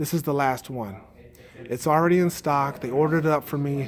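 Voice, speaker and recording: A man with a fairly high pitch. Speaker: motorcycle YouTuber. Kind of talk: live stream Q&A chat. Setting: at a motorcycle dealership, partly indoors. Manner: lowered voice indoors.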